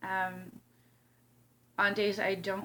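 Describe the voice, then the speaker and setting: There's a woman speaking at a medium pitch with an American accent. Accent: northern US accent, turns southern when mad. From Illinois. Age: 30s. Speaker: vlogger. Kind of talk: casual vlog talk to camera. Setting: at home. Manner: animated.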